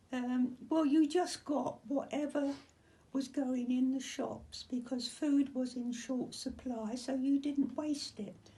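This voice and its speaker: A woman's high voice at a very slow pace with fairly even intonation, over noticeable background noise. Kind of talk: interview answer.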